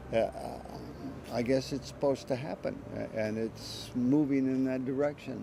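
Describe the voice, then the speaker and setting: A man talks at a moderate pace in a medium pitch. His intonation is monotone and flat. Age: 80s+. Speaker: drum maker and drummer. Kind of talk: interview conversation. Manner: halting, with many fillers.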